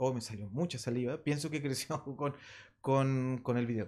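A man with a Chilean accent at a moderate pace, lively intonation, and a quiet background. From Chile, Santiago (Maipú). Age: 50s. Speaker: rock drummer; guest. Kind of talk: casual interview. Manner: halting. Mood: relaxed, animated storytelling. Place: studio. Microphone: studio mic.

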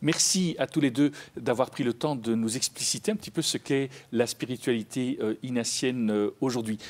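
Ordinary pitch variation from a man at a fairly quick pace. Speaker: TV magazine host. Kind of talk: TV interview. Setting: studio. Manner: formal. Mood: warm, smiling. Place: studio.

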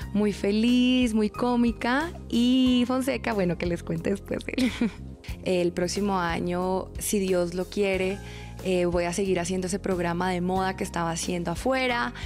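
Faint music sits behind fairly slow speech in a Bogotá accent with ordinary pitch variation. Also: woman. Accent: Bogotá Colombian Spanish. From Bogotá, Colombia. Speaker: TV presenter and model. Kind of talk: interview answer. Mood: cheerful, smiling. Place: home room. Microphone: handheld.

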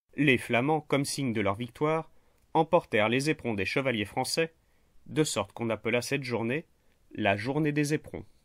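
A man uses an ordinary speaking voice at a medium pitch with ordinary pitch variation and a moderate pace. The recording is very clean and dry, close in sound with no echo, against a silent background. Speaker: history narrator. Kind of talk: scripted history narration for a general audience. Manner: measured, storytelling; clear and didactic.

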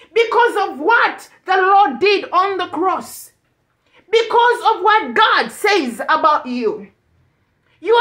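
A woman speaks at an extremely high pitch with a bright, sharp tone. Her pace is very slow against a quiet background. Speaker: ministry preacher. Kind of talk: sermon. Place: home room. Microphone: phone near.

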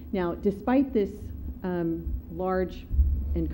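A woman speaks with light background noise behind her. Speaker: city attorney. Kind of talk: formal staff report to council. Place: meeting room.

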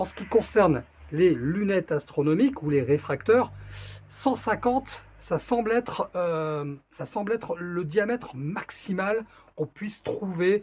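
Very slow pace paired with lively intonation. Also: man. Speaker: presenter. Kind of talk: tutorial. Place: home room. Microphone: phone near.

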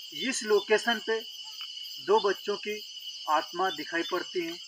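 A man speaks in a raised, projected voice at a fairly slow pace, with a dry sound free of echo and light background noise. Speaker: YouTube ghost-story host. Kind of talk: storytelling vlog to camera. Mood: earnest, storytelling tone. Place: open country. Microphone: handheld.

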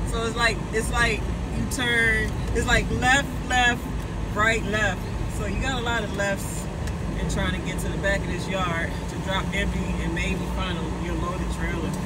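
The voice moves at a moderate pace with music in the background. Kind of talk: casual vlog chat. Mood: annoyed but joking. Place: car. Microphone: phone near.

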